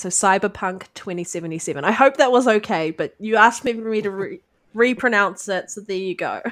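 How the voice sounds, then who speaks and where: Against a quiet background, a woman with a New Zealand accent speaks at a fairly quick pace. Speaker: gaming podcast host. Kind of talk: casual chat.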